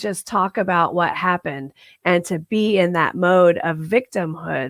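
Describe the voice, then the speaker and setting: Speaking at a fairly slow pace, a woman sounds animated, and the audio is dry and close with no echo. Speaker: minister. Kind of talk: sermon. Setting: livestreamed service.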